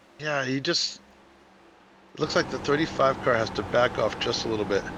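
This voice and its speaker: Amid noticeable background noise, a man of medium pitch talks in a New England accent at a fairly quick pace with ordinary pitch variation. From New England, Boston area. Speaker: sim racing commentator. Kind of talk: live commentary. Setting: live stream. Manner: animated.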